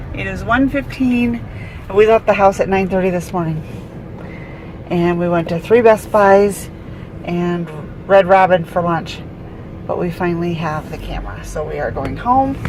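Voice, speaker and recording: A woman speaks at a moderate pace with long, frequent pauses and ordinary pitch variation. Her pitch sits fairly low, and there is noticeable background noise. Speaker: vlogger. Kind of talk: casual vlog. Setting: at a table at home. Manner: loud; animated.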